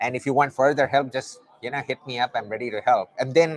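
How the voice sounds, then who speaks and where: Talking at a very fast pace, a man with a slight Indian accent keeps a medium pitch and fairly even intonation. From South India. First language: not English. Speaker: testing coach and conference speaker. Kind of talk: conference interview. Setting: conference venue.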